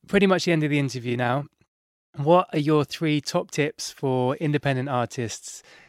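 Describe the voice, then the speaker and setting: Recorded very cleanly against a silent background, a man with a London accent speaks at a moderate pace with a dry, close sound and no echo. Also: fairly high pitch for a man, ordinary pitch variation. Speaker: podcast host, music producer and DJ. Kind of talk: podcast interview with scripted intro. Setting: studio.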